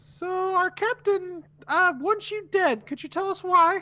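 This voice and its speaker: Squeaky and extremely high, the put-on character voice stands out. Its pace is fairly slow. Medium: actual play. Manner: flippant, joking.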